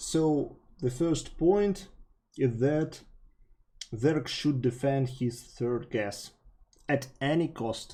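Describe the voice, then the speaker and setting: Very slowly and with long, frequent pauses, a man with a Russian accent speaks in a fairly high, somewhat breathy voice with a dark, mellow tone. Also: ordinary pitch variation. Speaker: StarCraft coach. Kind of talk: gameplay coaching commentary.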